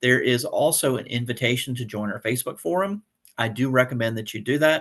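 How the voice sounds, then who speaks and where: Fairly quick speech from a man, medium in pitch. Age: 50s. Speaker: instructor. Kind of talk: tutorial. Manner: fast; casual.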